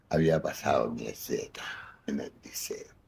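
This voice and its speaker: A man with a Rioplatense accent. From Buenos Aires, Argentina. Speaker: actor and comedian. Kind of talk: interview answer. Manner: casual anecdotal storytelling.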